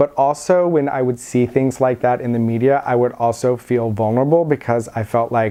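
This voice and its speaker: A man with an American accent speaks in a normal speaking voice at a medium pitch, with fairly even intonation. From Virginia, USA. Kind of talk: oral history interview answer.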